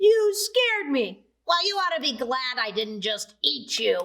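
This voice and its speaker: A woman uses a put-on character voice, pitched high and swinging very widely in pitch. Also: fairly slow pace. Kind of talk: children's storytelling.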